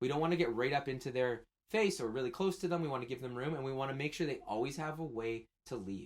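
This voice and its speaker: A man's very fast delivery with lively intonation. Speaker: community volunteer trainer. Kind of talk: training video.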